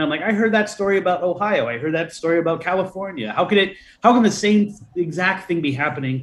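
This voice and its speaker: Speaking at a fairly quick pace against a quiet background, a man with an American accent uses a high pitch and ordinary pitch variation. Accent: Boston, slight, shed for interviews. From Boston. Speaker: folklorist and author. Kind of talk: interview.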